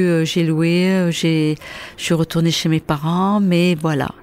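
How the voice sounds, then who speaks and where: A woman's fairly low voice in a flat monotone. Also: very even loudness. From Porquerolles, Provence, southern France. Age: 60s. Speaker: retired nursery worker. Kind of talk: interview conversation. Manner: halting.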